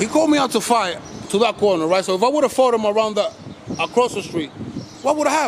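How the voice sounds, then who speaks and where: A loud man with an American accent, high pitch and lively intonation, talking at a very fast pace over noticeable background noise. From Los Angeles, US. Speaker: YouTuber filming police and public encounters. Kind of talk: confrontational street talk to camera. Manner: strong forceful tone.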